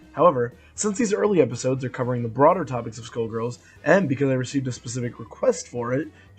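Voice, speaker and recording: A man with a medium pitch speaks over music playing in the background. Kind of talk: video game lore narration. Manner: casual, conversational.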